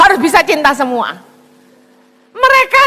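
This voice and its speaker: In a raised, projected voice, a woman speaks with a Javanese accent. Her pitch is extremely high and her pace fairly slow. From Indonesia, Chinese-Indonesian descent. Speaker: evangelist preacher. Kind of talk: sermon.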